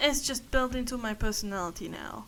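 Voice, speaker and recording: With audible room echo around her, a woman talks at a fairly high pitch and with ordinary pitch variation. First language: not English. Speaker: vlogger. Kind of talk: casual personal monologue. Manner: halting, many fillers.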